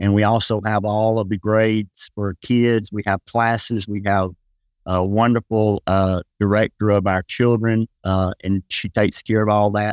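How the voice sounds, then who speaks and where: Against a quiet background, a man with a Southern US accent speaks at a moderate pace in monotone, flat intonation, the sound dry and close with no echo. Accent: Southern US (Georgia). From US South, west Georgia. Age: 60s. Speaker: pastor. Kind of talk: casual interview.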